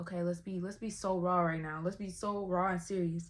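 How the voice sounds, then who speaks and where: A woman's medium-pitched voice at a moderate pace, fairly even in intonation, on a very clean recording with a silent background. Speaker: vlogger. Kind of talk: personal talk to camera. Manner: casual, conversational.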